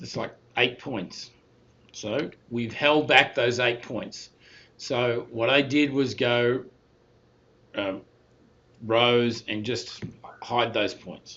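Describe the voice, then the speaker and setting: A man with an Australian accent speaks very slowly at a medium pitch. His intonation is fairly even, broken by long, frequent pauses. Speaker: university statistics instructor. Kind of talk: recorded lecture. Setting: recorded talking over slides.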